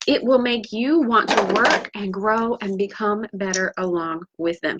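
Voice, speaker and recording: With a fairly high pitch, a woman talks at a fairly slow pace in an animated tone and lively intonation, the sound dry and close with no echo. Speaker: author and business coach. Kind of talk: motivational live video talk.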